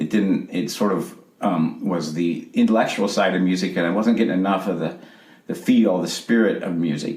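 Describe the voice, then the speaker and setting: Fairly even intonation from a man at a fairly low pitch and moderate pace, with audible room echo and noticeable background noise. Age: 60s. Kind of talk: interview. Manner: halting.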